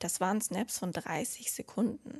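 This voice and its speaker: Here is a woman with an ordinary speaking voice, pitched in the middle of her range. The rise and fall of her pitch is normal. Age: 20s. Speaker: student and social media influencer. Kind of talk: interview. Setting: office.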